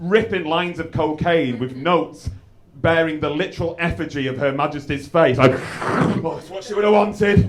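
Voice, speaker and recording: With an English accent, a high-pitched man speaks at a moderate pace with lively intonation, amid audible room echo and noticeable background noise. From England. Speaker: stand-up comedian. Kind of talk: stand-up. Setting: stage with audience. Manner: halting.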